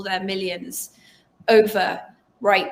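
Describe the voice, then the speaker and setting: With an English accent, a woman speaks at a fairly slow pace. Her pitch is medium and her intonation fairly even. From England. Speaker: journalist and author. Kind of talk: interview conversation.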